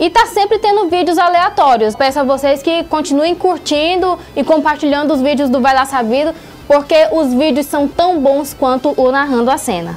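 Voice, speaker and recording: An animated tone at a moderate pace, with very even loudness over light background noise. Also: woman, high pitch for a woman, ordinary pitch variation. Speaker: YouTuber, comedy channel host. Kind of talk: casual vlog shout-outs, reading viewer comments. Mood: warm, playful. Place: studio. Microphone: lapel.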